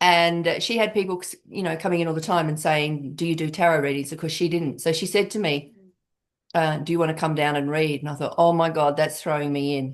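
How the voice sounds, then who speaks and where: Against a quiet background, a woman with a very deep, low voice and an Australian accent talks at a fairly quick pace with fairly even intonation. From Western Australia. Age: 60s. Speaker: tarot reader and coach. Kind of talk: interview conversation.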